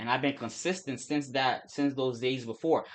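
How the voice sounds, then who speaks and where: A man mumbles at a medium pitch. The background is quiet. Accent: American. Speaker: forex trader and streamer. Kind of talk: casual livestream chat. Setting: live stream. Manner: fast; mumbling, words run together.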